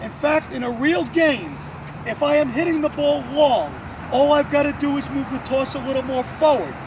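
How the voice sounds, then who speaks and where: Extremely high-pitched for a man, this voice moves at a moderate pace with ordinary pitch variation over noticeable background noise. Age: 50s. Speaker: tennis coach. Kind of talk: tutorial. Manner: casual, conversational.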